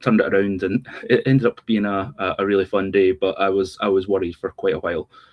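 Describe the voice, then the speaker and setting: With a Scottish accent, a man talks at a fairly quick pace. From Scotland. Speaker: sports journalist and podcaster. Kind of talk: casual chat.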